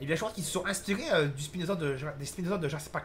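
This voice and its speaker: The man has a fairly high pitch, and his pitch varies in an ordinary way. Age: 20s. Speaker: gaming youtuber. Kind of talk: gameplay commentary. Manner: halting.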